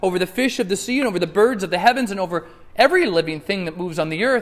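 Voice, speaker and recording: Speaking at a very fast pace, a man uses a high-pitched voice. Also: ordinary pitch variation. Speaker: preacher. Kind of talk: sermon. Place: church.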